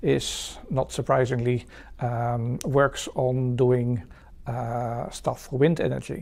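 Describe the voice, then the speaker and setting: A man's somewhat breathy voice has a dark, mellow tone at a medium pitch. The recording is very clean, with a silent background. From Netherlands, The Hague. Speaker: research manager. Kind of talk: career interview. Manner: halting, many fillers and repeats.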